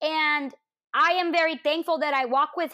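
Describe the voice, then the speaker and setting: A woman's raised, projected voice, bright and sharp in tone and animated, at a fairly slow pace on a very clean recording with a silent background. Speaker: witch and spiritual practitioner. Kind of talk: casual chat.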